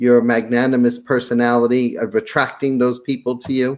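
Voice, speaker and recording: A man with a slight Brooklyn accent talks at a medium pitch. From Brooklyn, New York. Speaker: podcast host, real estate seminar presenter. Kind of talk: interview chat. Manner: halting, many fillers.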